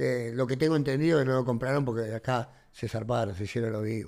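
Speaking fairly quickly in a Rioplatense accent, a man with a medium-pitched voice and ordinary pitch variation comes through on a very clean recording with a silent background. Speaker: professional wrestler and actor. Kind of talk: interview.

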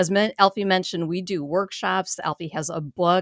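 A woman speaks with an unremarkable speaking voice, fairly low in pitch, at a moderate pace, with ordinary pitch variation. The recording is very clean, with a silent background and a dry, close sound with no echo. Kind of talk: radio host patter.

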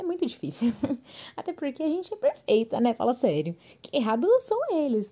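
At a moderate pace, a woman with a high pitch and a dark, mellow tone speaks with very wide pitch swings. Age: 20s. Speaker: podcast host. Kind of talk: casual solo monologue.

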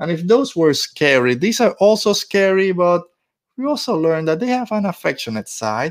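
In a very clean recording with a silent background, a man speaks at a moderate pace in a high voice with very wide pitch swings. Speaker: podcast host. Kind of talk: casual podcast chat. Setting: home recording, Florida. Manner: relaxed, conversational.

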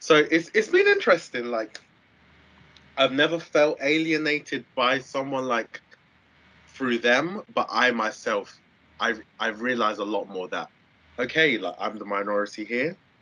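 A man with a South London accent, bright and sharp in tone, at a moderate pace with lively intonation and long, frequent pauses. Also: medium pitch for a man. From Southeast London. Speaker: university student and support worker. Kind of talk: interview. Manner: casual, many fillers.

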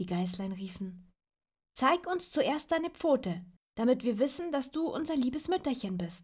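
In a gentle, warm tone, a woman talks at a fairly slow pace with a high pitch and very wide pitch swings. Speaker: storyteller reading fairy tales aloud. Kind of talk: dramatic fairy-tale narration, suspenseful storytelling with a tale-spinning tone. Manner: gentle, warm, child-directed.

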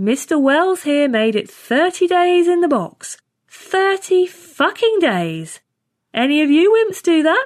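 A woman puts on a character voice, speaking slowly at an extremely high pitch with big swings in pitch.

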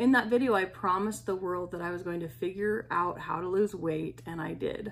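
In an unremarkable speaking voice, a woman talks at medium pitch with ordinary pitch variation. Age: 40s. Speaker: podcast host sharing personal weight loss journey. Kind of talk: personal monologue.

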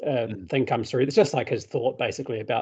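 A man talks at a very fast pace with a New Zealand accent. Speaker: podcast host, father. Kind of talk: casual interview.

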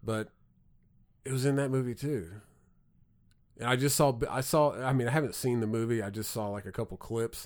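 Recorded very cleanly against a silent background, a man with a medium pitch and a slight Southern accent talks at a fairly quick pace, using ordinary pitch variation and long, frequent pauses. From southern Indiana. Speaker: podcast host. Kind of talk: casual chat. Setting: studio.

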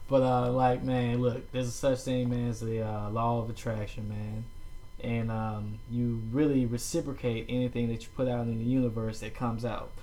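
A dark, mellow tone at a moderate pace, with audible room echo. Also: man, medium pitch for a man. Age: 30s. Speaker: podcast host. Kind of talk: casual chat. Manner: animated.

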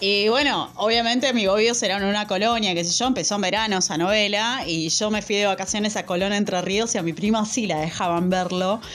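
Against noticeable background noise, a woman of medium pitch talks at a fairly quick pace with hardly any pauses, very even loudness and ordinary pitch variation. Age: 30s. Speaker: podcast co-host. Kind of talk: casual chat.

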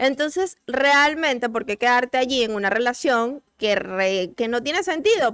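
This woman has a high-pitched voice and talks at a moderate pace. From Venezuela. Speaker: doctor, recurring guest. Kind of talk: casual chat.

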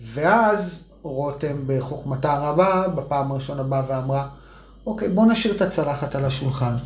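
A man speaks at a fairly high pitch with lively intonation. Noticeable background noise and audible room echo surround him. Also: moderate pace. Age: 40s. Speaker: parenting podcast co-host, former athlete. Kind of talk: casual chat.

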